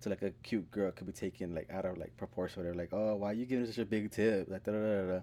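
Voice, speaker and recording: A man's dark, mellow tone at a very fast pace, with hardly any pauses and fairly even intonation. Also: fairly low pitch for a man. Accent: American. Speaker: podcast co-host. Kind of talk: casual chat.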